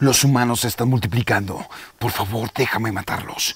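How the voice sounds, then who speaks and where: Using a put-on character voice, a man delivers his lines at an unhurried, moderate pace in a medium register. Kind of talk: film dubbing. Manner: menacing, aggressive.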